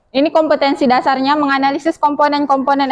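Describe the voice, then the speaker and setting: A woman at a very fast pace, high in pitch, with fairly even intonation and a dry, close sound with no echo. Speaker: teacher. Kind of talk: classroom lesson. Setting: classroom.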